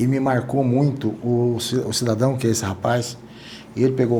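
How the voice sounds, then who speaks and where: Audible room echo surrounds a man whose medium-pitched voice keeps a fairly even intonation. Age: 60s. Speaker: podcast host. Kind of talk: casual interview chat. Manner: halting, self-correcting.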